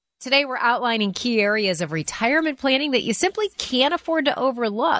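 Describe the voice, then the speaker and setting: Against a quiet background, a woman speaks at a moderate pace in an enthusiastic tone with very wide pitch swings, the sound dry and close with no echo. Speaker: radio show co-host. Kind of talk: infomercial hosting, upbeat and scripted-sounding. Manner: bright, friendly, enthusiastic.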